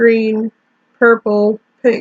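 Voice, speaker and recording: A quiet woman's voice with monotone, flat intonation. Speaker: YouTuber drawing and chatting. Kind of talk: casual monologue while drawing. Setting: alone in bedroom. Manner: halting.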